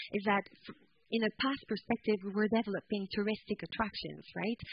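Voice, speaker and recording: In a French-Canadian accent, a woman talks at a fairly quick pace with a fairly high pitch and a somewhat breathy voice. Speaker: tourism product developer. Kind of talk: conference presentation.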